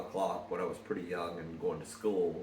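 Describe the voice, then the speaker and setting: A fairly quick delivery over noticeable background noise, with audible room echo. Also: man. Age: 50s. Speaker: son interviewing his mother. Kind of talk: informal reminiscence. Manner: hesitant, many fillers.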